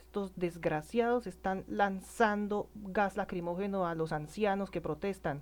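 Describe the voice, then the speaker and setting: A woman at a medium pitch, fairly slow and fairly even in intonation, with hardly any pauses. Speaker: political commentator. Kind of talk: emotional monologue. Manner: halting, many self-corrections.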